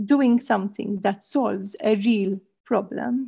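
A woman speaks with a dark, mellow tone that is somewhat breathy. Her pace is moderate. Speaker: panelist. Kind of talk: interview answer. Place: home room. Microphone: headset.

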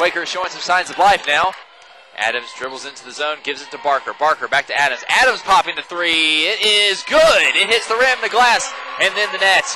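A man with a high voice speaks at a fairly quick pace, his pitch swinging very widely and his loudness rising and falling sharply over noticeable background noise. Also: dry sound with no echo. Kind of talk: live commentary. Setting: arena broadcast. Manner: fast-paced, excitable play-by-play; rhyming catchphrases. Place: hall.

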